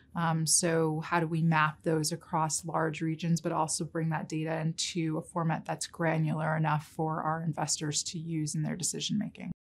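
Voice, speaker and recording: A woman with an American accent speaks at a moderate pace with hardly any pauses. Her very deep, low voice stays monotone and flat. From New York City. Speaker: investment research director. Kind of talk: interview. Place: meeting room.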